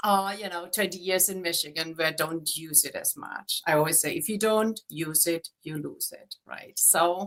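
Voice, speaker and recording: With a German accent, a woman speaks at a moderate pace in a fairly low pitch, her intonation fairly even and hardly any pauses. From Germany. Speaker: real estate agent. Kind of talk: interview.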